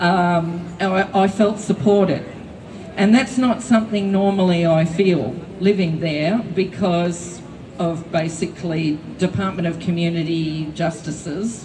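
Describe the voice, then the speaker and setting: A woman with an Australian accent speaks at a fairly slow pace with a fairly low pitch and ordinary pitch variation. Noticeable background noise and audible room echo fill the recording. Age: 60s. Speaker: public housing tenant, rally speaker. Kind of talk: rally speech. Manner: halting, many fillers.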